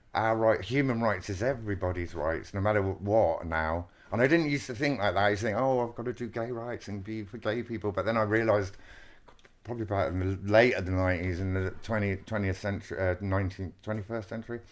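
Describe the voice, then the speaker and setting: Talking at a very fast pace, a man with a southern English accent uses a fairly low pitch and ordinary pitch variation. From Wiltshire, England. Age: 50s. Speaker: textile artist. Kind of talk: interview conversation. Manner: animated, excitable.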